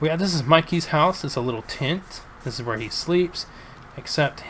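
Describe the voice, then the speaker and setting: A man's intonation is lively, and noticeable background noise runs through the clip. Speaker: gaming YouTuber. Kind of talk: gameplay commentary. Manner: halting, stumbles on words; casual with many fillers.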